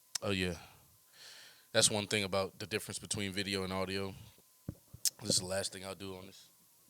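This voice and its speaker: A man's fairly low, monotone voice with a bright, sharp yet relaxed tone, a fairly quick pace, big swings in loudness, and long, frequent pauses. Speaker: podcast host, rapper/music artist. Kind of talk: casual podcast monologue. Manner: relaxed, reflective, thoughtful.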